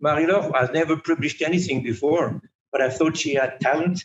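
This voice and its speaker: This man has a French accent and a fairly high pitch. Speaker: magazine editor. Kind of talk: interview. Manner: halting, with repetitions.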